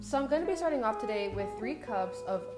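A woman talks at a fairly quick pace. Music plays clearly behind her. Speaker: homemaking vlogger. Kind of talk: casual vlog chat and cooking tutorial. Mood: warm and upbeat. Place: kitchen. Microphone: studio mic.

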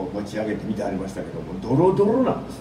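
Amid noticeable background noise, a man with a Kansai accent speaks with very wide pitch swings. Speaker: radio host. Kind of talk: community radio talk show. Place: studio.

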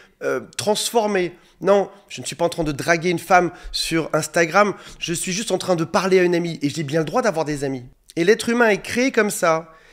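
A man with a high pitch, ordinary pitch variation, big swings in loudness, and a fairly quick pace, over a quiet background. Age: 40s. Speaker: relationship coach. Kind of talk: monologue video advice talk. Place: home room. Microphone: studio mic.

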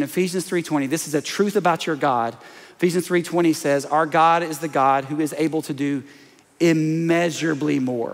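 The speaker has a Southern US accent and an animated, playful tone. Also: man. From US South, small-town Alabama. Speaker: pastor. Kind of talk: sermon. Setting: stage with audience. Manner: animated, playful crowd-working with comic asides mid-sermon; energetic, repetitive emphatic delivery with call-and-response. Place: church.

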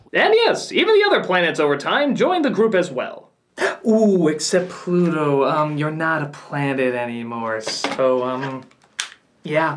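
Over light background noise, a man speaks fairly slowly with lively intonation. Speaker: comedic reviewer. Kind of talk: comedic review commentary. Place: studio.

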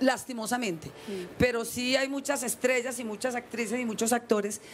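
A woman talks with ordinary pitch variation at a moderate speed, with light noise in the background. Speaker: guest actress. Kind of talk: interview answer. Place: street. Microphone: handheld.

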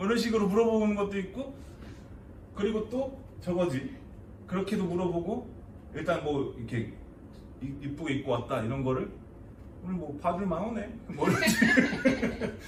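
Very wide pitch swings and long, frequent pauses in a Chungcheong accent. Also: man, high pitch for a man, moderate pace. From Chungcheong Province, South Korea. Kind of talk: comedic dialect lesson.

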